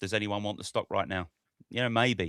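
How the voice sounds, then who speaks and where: On a very clean recording with a silent background and a dry, close sound with no echo, a man with a British accent speaks at a moderate pace in a fairly low pitch with fairly even intonation. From Britain. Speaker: stock market podcast host. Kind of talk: casual chat.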